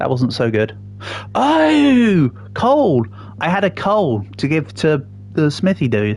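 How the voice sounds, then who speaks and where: Against noticeable background noise, a man with a fairly high pitch speaks very slowly with long, frequent pauses, his pitch swinging very widely while his loudness stays very even. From England. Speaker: gaming streamer. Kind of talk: live gameplay stream chat, answering viewers. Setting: livestream. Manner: casual, chatty with fillers.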